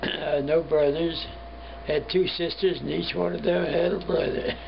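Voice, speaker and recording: A man talks at a moderate pace in a Midwestern American accent. There is noticeable background noise and audible room echo. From US Midwest, Cincinnati, Ohio. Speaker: war veteran. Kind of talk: interview.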